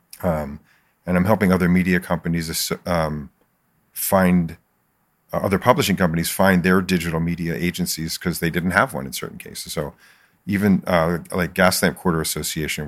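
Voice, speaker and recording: With an American accent and a very deep, low pitch, a man speaks at a fairly quick pace with fairly even intonation on a very clean recording with a silent background. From Philadelphia, US. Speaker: marketing agency owner. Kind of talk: casual podcast interview. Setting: studio with camera.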